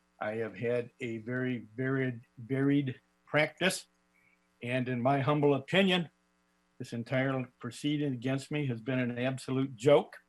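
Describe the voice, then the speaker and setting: At a fairly slow pace, a man with an unremarkable speaking voice talks in fairly even intonation. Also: medium pitch for a man. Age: 60s. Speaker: lawyer defending himself. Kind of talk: oral argument before court.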